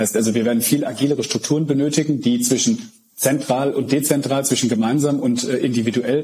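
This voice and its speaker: A man keeps his intonation fairly even while noticeable background noise carries on behind him. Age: 30s. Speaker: managing director of an IT group. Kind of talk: interview.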